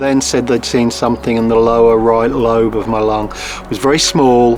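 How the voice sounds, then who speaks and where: Over noticeable background noise, a man's medium-pitched voice keeps a fairly even intonation. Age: 50s. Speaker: deputy head teacher, cancer patient. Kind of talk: testimony.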